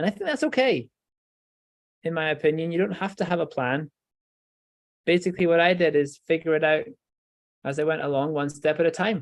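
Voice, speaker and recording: With a Scottish accent, a man with a fairly high pitch and ordinary pitch variation talks at a fairly quick pace, pausing long and often. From Scotland, Edinburgh. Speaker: professor, stem cell researcher. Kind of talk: educational talk for children.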